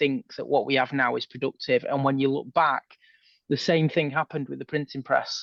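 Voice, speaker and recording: Recorded with a dry, close sound and no echo, a man with a northern English accent talks fairly quickly at a fairly high pitch with fairly even intonation. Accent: northern English twang. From northern England. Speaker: former police officer turned sci-fi author. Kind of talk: podcast interview.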